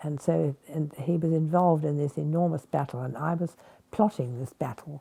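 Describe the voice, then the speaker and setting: At a moderate pace, a woman speaks in a very deep, low pitch with a somewhat breathy, dark, mellow tone and fairly even intonation. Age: 80s+. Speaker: war veteran. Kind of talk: interview. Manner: hesitant.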